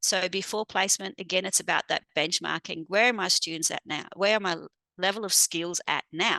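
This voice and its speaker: Speaking at a fairly quick pace with an Australian accent, a woman has a medium-pitched, bright and sharp tone, fairly even intonation, and a dry, close sound with no echo. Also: quiet background. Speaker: university educator presenting at a conference. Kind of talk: conference presentation. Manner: fast.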